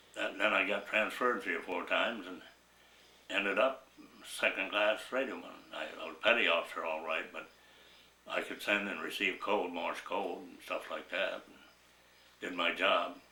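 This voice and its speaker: Speech at a moderate pace with an American accent, long, frequent pauses and big swings in loudness, plus audible room echo and noticeable background noise. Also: man. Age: 90s. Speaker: war veteran. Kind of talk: oral history interview. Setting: at home. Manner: halting.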